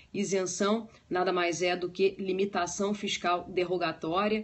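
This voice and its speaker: This woman's pitch sits fairly low. She speaks at a very slow pace. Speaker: law teacher. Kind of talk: lecture.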